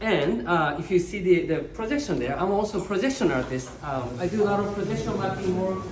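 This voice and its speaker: A man with a Japanese accent speaks at a high pitch, his pitch swinging very widely. Noticeable background noise and audible room echo fill the recording. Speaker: visual artist. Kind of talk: artist talk. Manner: halting, many fillers.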